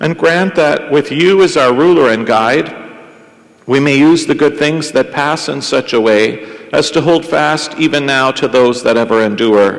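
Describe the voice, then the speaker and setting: The pace is fairly slow. This man's pitch shows ordinary variation. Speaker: priest celebrating Mass. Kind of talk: liturgical prayer and scripture reading. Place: church.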